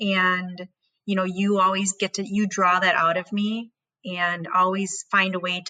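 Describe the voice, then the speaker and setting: With a Wisconsin accent, a woman talks at a medium pitch and a moderate pace in a bright, sharp tone. The sound is dry and close, with no echo. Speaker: podcast host. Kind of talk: casual chat.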